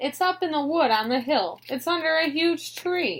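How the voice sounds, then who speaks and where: A woman uses a put-on character voice, pitched high. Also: moderate pace, lively intonation. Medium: read story.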